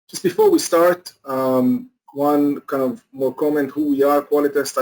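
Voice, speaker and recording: Speaking with a non-native accent, a man keeps a fairly even intonation. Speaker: company executive presenter. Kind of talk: webinar presentation. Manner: halting, many fillers.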